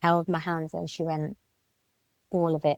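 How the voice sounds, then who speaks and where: In a British accent, the speaker goes at a moderate pace, with a dry, close sound and no echo. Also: woman. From Britain. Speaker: Kundalini Shakti activation facilitator. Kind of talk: interview answer.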